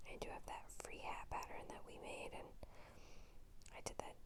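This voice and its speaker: A woman is whispering. Her pace is moderate. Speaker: ASMR crochet creator. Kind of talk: ASMR whisper talk. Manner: whispered, soft-spoken.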